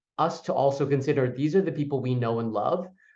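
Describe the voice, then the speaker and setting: Speaking at a fairly quick pace, a man with a fairly high pitch is heard with audible room echo. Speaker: public health official and coalition co-director. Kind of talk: conference presentation. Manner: fast; animated.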